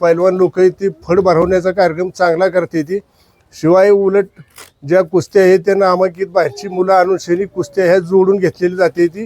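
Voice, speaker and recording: The man's high-pitched voice stays monotone and flat, recorded with a dry, close sound and no echo. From Satara district, Maharashtra. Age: 70s. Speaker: village elder and festival organiser. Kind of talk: informal spoken explanation.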